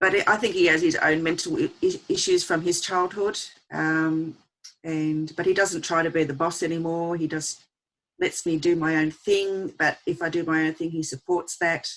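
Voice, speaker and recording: With an Australian accent, a woman speaks at a moderate pace in a monotone, flat intonation. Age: 60s. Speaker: abuse survivor and advocate. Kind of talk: testimony. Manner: halting.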